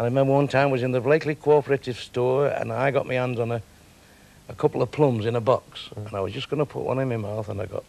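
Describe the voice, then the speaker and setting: The speaker talks very fast with a Manchester accent and ordinary pitch variation. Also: man. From Manchester, England. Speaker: comedian and club owner. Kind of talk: interview answer. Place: studio. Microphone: lapel.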